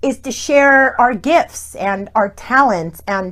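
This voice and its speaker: A woman speaks loudly at high pitch, with an animated tone and lively intonation. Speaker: online talk show host. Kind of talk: casual interview chat.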